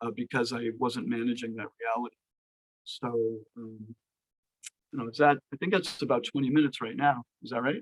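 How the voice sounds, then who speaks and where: At a fairly quick pace, a man with medium pitch and fairly even intonation speaks with big swings in loudness and long, frequent pauses, in a dry, close sound with no echo. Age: 60s. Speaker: Ayurveda practitioner. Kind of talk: talk to online devotee audience. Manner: hesitant, many fillers.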